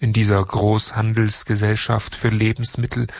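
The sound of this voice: An unforced reading voice carries the whole clip.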